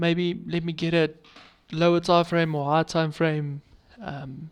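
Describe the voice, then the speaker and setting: The pace is moderate. The intonation stays flat and monotone. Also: man. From South Africa. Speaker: forex trading mentor. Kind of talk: community update talk. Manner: halting, with pauses.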